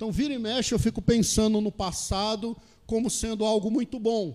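Speaking at a moderate pace, the man has a high-pitched voice. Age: 40s. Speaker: pastor. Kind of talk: sermon.

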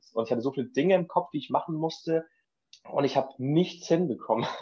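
Here a man talks at a fairly quick pace in a dark, mellow tone with ordinary pitch variation. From northern Germany (Schleswig-Holstein). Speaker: trained cook. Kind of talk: casual chat.

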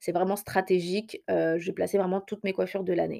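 A dark, mellow tone with monotone, flat intonation, in a very clean recording over a silent background. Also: woman. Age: 20s. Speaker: hair care podcaster. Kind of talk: solo podcast monologue. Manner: hesitant with many fillers.

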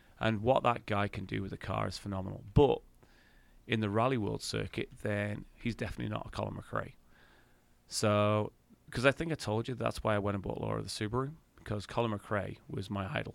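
On a very clean recording with a silent background, a man with an English accent speaks at a fairly quick pace. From England. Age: 50s. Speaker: podcast co-host. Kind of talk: casual chat.

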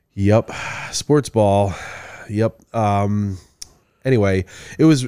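With a Michigan accent, this voice has a dark, mellow tone and ordinary pitch variation, recorded very cleanly against a silent background with a dry, close sound and no echo. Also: man. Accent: Michigan general American. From Midland, Michigan. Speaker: podcast co-host. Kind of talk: casual chat.

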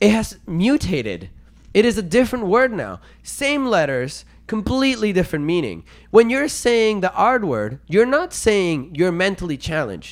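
In a very clean recording with a silent background, a man with a high voice talks at a moderate pace in an animated tone, his pitch swinging very widely. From Venezuela. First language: Spanish. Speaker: podcast co-host. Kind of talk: casual debate.

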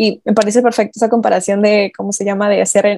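A woman's medium-pitched voice, dark and mellow in tone, at a very fast pace with monotone, flat intonation, in a dry, close sound with no echo. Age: 20s. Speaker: podcast guest. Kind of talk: casual chat.

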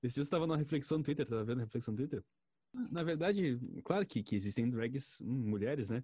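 In a somewhat breathy voice with a dark, mellow tone, a man speaks at a very fast pace with lively intonation. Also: very clean recording, silent background. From rural Brazil. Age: 20s. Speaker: journalist. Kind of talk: casual chat.

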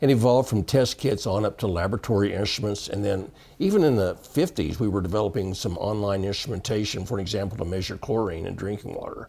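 Someone speaks at a very fast pace with hardly any pauses, ordinary pitch variation and a somewhat breathy voice. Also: man, fairly low pitch for a man. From Texas panhandle. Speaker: water quality industry veteran. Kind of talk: interview.

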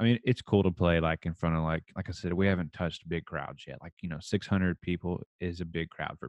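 With a slight Texas accent, a man speaks at a very deep, low pitch with fairly even intonation. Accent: slight Texas twang. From rural Texas. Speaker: country musician and oil field worker. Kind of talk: casual chat.

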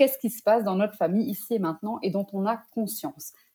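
A woman speaks with a fairly high pitch and a dark, mellow tone. Her voice is somewhat breathy. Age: 30s. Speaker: psychogenealogist. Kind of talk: interview. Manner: hesitant, many fillers.

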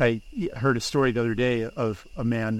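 This man has an ordinary speaking voice. Its pitch is medium. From US, Pennsylvania (State College). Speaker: author and philosopher. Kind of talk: casual interview conversation.

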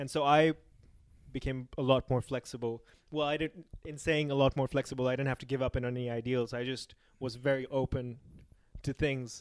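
A man's medium-pitched voice in a flat monotone. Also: fairly quick pace, dry, close sound with no echo. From Pakistan. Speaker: podcast host. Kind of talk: casual chat. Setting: restaurant.

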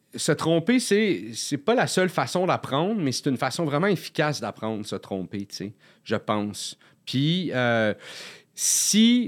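Swinging very widely in pitch, a man with a fairly high voice speaks at a very slow pace. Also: very clean recording, silent background. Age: 40s. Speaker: comedian. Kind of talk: casual chat. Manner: halting.

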